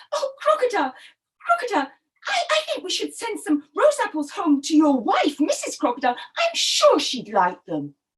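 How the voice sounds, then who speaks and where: A squeaky put-on character voice, extremely high-pitched, at a moderate pace. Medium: read story. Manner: bright, eager.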